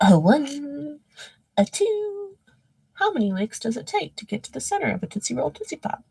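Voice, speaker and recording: A woman puts on a character voice pitched high. She speaks at a moderate pace. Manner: cartoon commercial voice.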